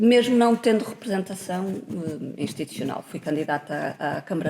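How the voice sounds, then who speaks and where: A woman's fairly low voice with lively intonation, against noticeable background noise. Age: 40s. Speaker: politician. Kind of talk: podcast interview.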